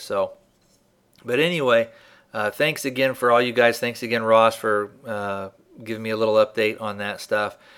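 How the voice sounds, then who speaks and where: A man's ordinary speaking voice at medium pitch and moderate pace, in a very clean recording with a silent background. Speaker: podcast host. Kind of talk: casual podcast hosting. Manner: informal, friendly.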